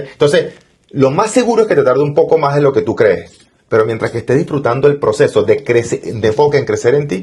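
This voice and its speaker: A man with a Venezuelan accent speaks at a very fast pace. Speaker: entrepreneur and financial mentor. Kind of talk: interview.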